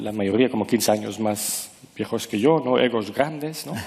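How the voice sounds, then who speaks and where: A man takes a fairly slow pace while background noise is clearly audible. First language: not Spanish (speaking Spanish). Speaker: author and former management consultant. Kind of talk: interview. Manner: halting, searching for words.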